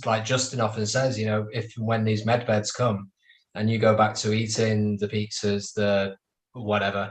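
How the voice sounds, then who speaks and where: Somewhat breathy and fairly low, a man's voice keeps a monotone, flat intonation at a moderate pace. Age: 30s. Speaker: roundtable panelist. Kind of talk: casual chat.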